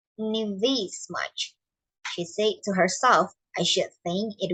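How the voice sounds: Here we have a natural reading voice. Behind it, the background stays quiet.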